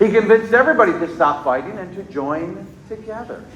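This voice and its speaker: A man's high voice swings very widely in pitch, with noticeable background noise and audible room echo. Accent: American. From Onondaga Nation, New York. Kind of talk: storytelling to young children. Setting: school assembly with children. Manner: animated.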